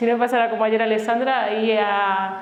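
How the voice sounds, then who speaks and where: A woman with a high pitch and fairly even intonation in an Andalusian accent, with audible room echo. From Andalusia, Granada. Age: 40s. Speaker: family doctor and health speaker. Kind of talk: conference talk. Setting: stage with live audience.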